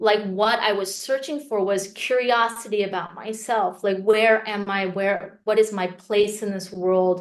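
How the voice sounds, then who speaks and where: A woman with an American accent speaks at a fairly slow pace, with hardly any pauses, in a normal speaking voice. Her pitch sits in the medium range, and her intonation is fairly even. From US (Korean American, Texas). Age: 40s. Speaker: memoirist. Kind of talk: interview.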